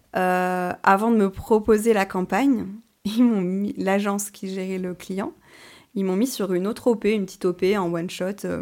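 A woman speaks at a fairly slow pace in an ordinary speaking voice, her pitch medium, on a very clean recording with a silent background. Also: fairly even intonation. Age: 30s. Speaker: content creator. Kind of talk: podcast interview.

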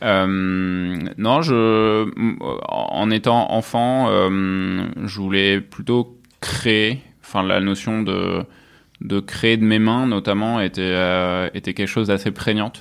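Moving at a very slow pace, a man speaks at a fairly low pitch with fairly even intonation. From Provence, France. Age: 30s. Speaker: tech company CEO. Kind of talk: interview conversation. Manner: hesitant, many fillers.

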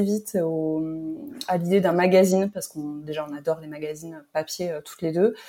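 A woman with a fairly low pitch and a dark, mellow tone talks at a fairly quick pace, her intonation fairly even but her loudness swinging widely. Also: very clean recording, silent background. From Pau, southwest France. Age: 30s. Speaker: magazine co-founder. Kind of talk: casual chat.

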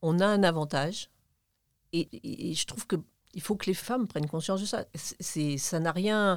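A woman with a fairly low pitch and ordinary pitch variation speaks at a moderate pace with long, frequent pauses, on a very clean recording with a silent background. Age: 60s. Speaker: retired engineer and manager. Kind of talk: interview conversation. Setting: studio.

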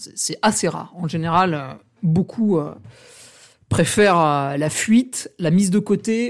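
On a very clean recording with a silent background, a man speaks in an animated tone. His pitch is high, with ordinary pitch variation. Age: 30s. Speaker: podcaster. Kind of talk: casual solo monologue.

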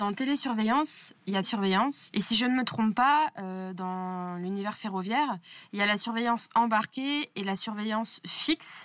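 The speaker has a plain, everyday voice with ordinary pitch variation. The pace is moderate and the recording is very clean, with a silent background. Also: woman, fairly high pitch for a woman. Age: 20s. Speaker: railway communications officer interviewing a colleague. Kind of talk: casual interview.

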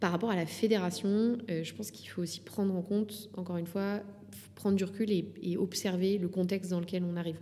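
In a room with audible echo, a woman with a dark, mellow tone and medium pitch talks fairly quickly in a flat monotone. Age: 30s. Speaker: sports federation communications manager. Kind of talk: interview conversation. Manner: halting.

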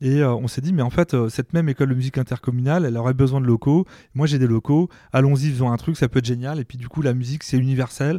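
A man's dark, mellow voice at a medium pitch and a very fast pace, with fairly even intonation, in a dry, close sound with no echo on a very clean recording against a silent background. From France, Mayenne. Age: 40s. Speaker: nursing home director. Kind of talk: podcast interview. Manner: hesitant, many fillers.

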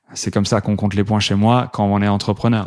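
Fairly low for a man, this voice moves at a fairly quick pace with monotone, flat intonation. The recording is very clean, with a silent background. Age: 30s. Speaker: startup co-founder. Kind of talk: casual interview. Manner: hesitant with fillers.

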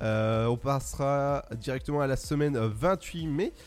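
Music plays behind a man speaking at a fairly slow pace. His medium-pitched voice has an upbeat tone and ordinary pitch variation. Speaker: radio host. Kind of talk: radio dj patter. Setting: studio. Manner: upbeat, chatty, punchy radio-jingle energy.

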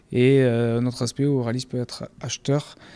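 A man's dark, mellow voice sits at a medium pitch, flat and monotone, moving at a fairly slow pace. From France, Béarn. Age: 40s. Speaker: agricultural cooperative manager. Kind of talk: interview. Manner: halting, with frequent fillers.

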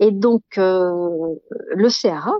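A woman speaks in a medium pitch. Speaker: guesthouse owner. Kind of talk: interview.

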